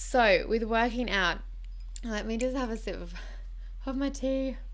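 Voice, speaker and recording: A woman speaks at a fairly slow pace with a high pitch and ordinary pitch variation. Audible room echo surrounds her voice. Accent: Australian. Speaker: lifestyle vlogger. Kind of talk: casual chat. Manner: casual, unscripted.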